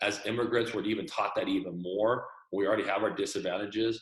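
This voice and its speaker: A man speaks at a very fast pace and a medium pitch. His voice is somewhat breathy, with fairly even intonation. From Texas, El Paso. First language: Chinese. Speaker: entrepreneur. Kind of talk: interview.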